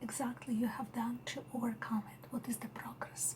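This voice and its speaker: A soft-spoken woman with a Russian accent and a high pitch keeps fairly even intonation over noticeable background noise. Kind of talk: ASMR roleplay.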